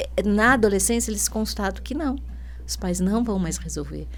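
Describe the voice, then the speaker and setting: Audible room echo surrounds the speaker. She is a woman talking at a moderate pace. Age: 60s. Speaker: educator, school director. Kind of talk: podcast interview. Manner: hesitant, many fillers.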